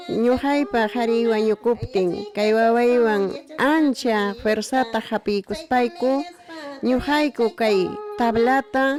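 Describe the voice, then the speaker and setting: With music in the background, a woman talks at a very slow pace in a fairly high pitch, using ordinary pitch variation and very even loudness. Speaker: traditional painter. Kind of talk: testimony.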